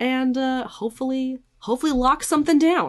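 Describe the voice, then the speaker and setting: The background is quiet. A woman with fairly high pitch speaks at a fairly slow pace. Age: 20s. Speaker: podcast co-host. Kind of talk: casual chat.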